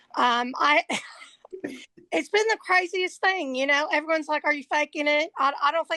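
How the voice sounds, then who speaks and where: A woman with an American accent speaks in a bright, sharp tone at a fairly quick pace with ordinary pitch variation. The sound is dry and close with no echo, set against a quiet background. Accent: Southern US accent (foreign accent syndrome). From US West Coast, San Francisco Bay Area. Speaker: patient. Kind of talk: casual chat. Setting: live webinar.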